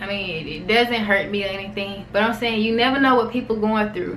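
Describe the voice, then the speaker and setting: A woman speaks in a fairly high voice at a moderate pace. The room echo and the background noise are both noticeable. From US South, Alabama. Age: 20s. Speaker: vlogger. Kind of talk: personal vlog, casual talk to camera.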